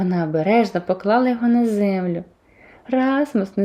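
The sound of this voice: Just an unforced reading voice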